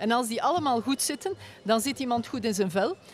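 A woman at a fairly quick pace with ordinary pitch variation, in a dry recording with no echo and light background noise. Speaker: guest. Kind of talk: interview answer. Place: tent. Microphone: studio mic.

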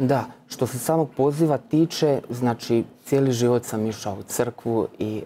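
A man with fairly even intonation over light background noise. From Croatia, Split (Dalmatia); Croatia. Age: 30s. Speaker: Franciscan postulant, former literature scholar; guest. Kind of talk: faith testimony interview. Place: studio. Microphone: lapel.

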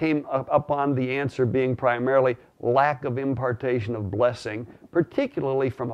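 A man is speaking. He talks at a moderate pace. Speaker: religious teacher. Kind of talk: teaching talk to camera. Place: home room. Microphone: lapel.

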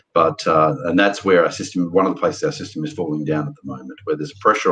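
A man with an Australian accent speaks very fast at a fairly low pitch. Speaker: podcast host. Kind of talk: casual discussion of news. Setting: video call. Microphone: webcam.

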